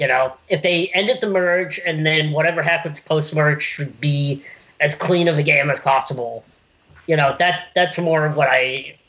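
Fairly high-pitched with an unremarkable speaking voice, a man talks at a moderate pace with ordinary pitch variation and very even loudness. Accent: American. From US South, South Carolina (Irmo, near Columbia). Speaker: podcast guest. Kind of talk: casual chat.

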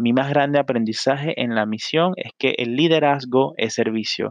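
Speaking at a fairly slow pace with a Panamanian accent, a man is heard in a dry, close sound with no echo against a quiet background. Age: 20s. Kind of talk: solo podcast monologue. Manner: hesitant, frequent fillers.

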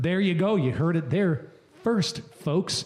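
Against noticeable background noise, a man with a high pitch and lively intonation speaks at a moderate pace. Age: 30s. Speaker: podcast host. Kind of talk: casual chat. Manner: loud, animated.

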